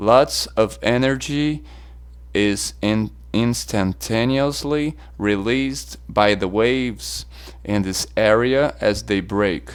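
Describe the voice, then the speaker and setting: With a non-native accent, a man speaks very slowly at a fairly low pitch, his pitch swinging very widely. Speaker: surf self-defense instructor. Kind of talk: audiobook reading.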